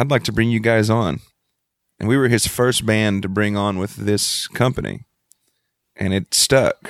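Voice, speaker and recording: In a very clean recording with a silent background, a man speaks with a Texan accent at a fairly low pitch. He goes at a fairly slow pace with fairly even intonation and long, frequent pauses. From Texas Gulf Coast, Freeport. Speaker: band lead singer. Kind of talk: casual interview.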